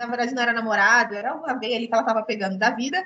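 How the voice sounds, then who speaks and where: A woman speaks in a high voice. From Rio de Janeiro, Baixada Fluminense (Brazil). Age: 30s. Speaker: writer. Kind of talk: online talk to students. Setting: video call.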